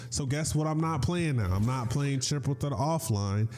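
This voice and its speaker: Music plays in the background behind a man. He talks at a fairly quick pace with lively intonation. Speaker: gaming YouTuber. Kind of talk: opinion rant video. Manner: animated.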